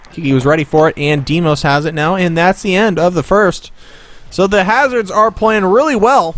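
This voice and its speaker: The speech has an animated tone, a moderate pace and lively intonation. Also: man, high pitch for a man. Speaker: esports commentator. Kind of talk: live play-by-play sports commentary of a video game hockey match. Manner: animated, hoarse and worn out, with laughs and cursing.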